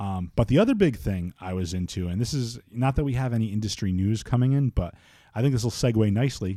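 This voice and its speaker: A man talks at a very fast pace in a dark, mellow tone. The recording is very clean, with a silent background. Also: medium pitch for a man, ordinary pitch variation. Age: 30s. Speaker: podcast host. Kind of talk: casual chat. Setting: studio. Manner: loud; animated.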